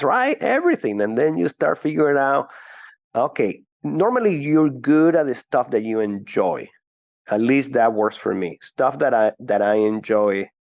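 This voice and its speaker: A man with a Venezuelan accent, medium-pitched, at a moderate pace, his intonation lively, the sound dry and close with no echo. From Venezuela (Caracas). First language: Spanish. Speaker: business executive. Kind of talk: podcast interview. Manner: hesitant, frequent fillers.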